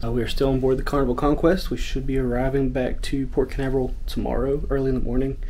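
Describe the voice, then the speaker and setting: The pace of speech is fairly quick. Light background noise can be heard. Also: man. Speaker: family travel vlogger. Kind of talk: casual vlog chat. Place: boat. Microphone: phone near.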